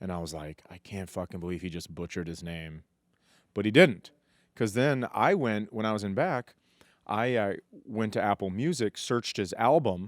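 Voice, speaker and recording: A man with a normal speaking voice talks at a moderate pace at a fairly low pitch, with lively intonation and big swings in loudness. The recording is very clean with a silent background and a dry, close sound with no echo. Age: 40s. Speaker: stand-up comedian. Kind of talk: casual podcast chat.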